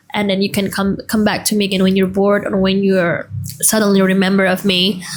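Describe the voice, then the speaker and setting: The speech comes at a fairly quick pace with flat, monotone intonation and very even loudness, over noticeable background noise. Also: woman, medium pitch for a woman. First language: not English. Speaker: vlogger. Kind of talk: casual personal storytelling.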